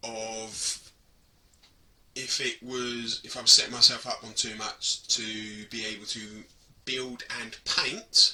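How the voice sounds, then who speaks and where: The speaker is a man with an English accent. He talks at a fairly slow pace. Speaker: hobby gaming vlogger. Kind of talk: casual vlog talk to camera.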